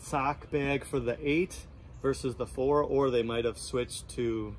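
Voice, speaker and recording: Light background noise sits under a man's voice, which moves with ordinary pitch variation. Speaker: product reviewer. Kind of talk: casual product review talk. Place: garden. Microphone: phone near.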